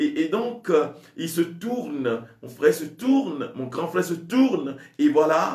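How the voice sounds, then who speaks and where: A man with a Togolese accent talks at a very slow pace in a high pitch for a man, with very wide pitch swings. Audible room echo and noticeable background noise surround him. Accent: West African French (Togolese). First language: a Togolese language (speaking French). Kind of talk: sermon. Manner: halting, with many repetitions.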